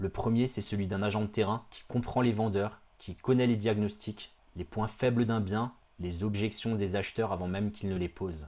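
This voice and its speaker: Fairly low in pitch, a man with a normal speaking voice talks at a moderate pace with fairly even intonation. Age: 30s. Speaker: real estate agent. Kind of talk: sales pitch. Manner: confident, punchy.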